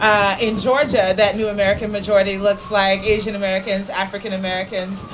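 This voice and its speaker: Over noticeable background noise, a woman of medium pitch talks at a fairly quick pace in a flat, monotone way. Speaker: nonprofit director. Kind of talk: speech. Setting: stage with audience.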